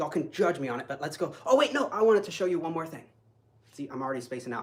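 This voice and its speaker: An animated man with an American accent speaks at a very fast pace and fairly high pitch. His voice is somewhat breathy, with lively intonation. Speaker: kung fu instructor. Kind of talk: live online class. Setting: live stream.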